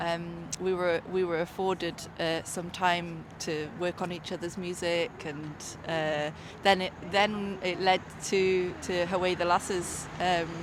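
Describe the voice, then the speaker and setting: A woman with a fairly low pitch speaks at a fairly slow pace in a monotone, flat intonation. Noticeable background noise can be heard. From Northumberland, northeast England. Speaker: musician. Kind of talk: interview. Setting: outdoors.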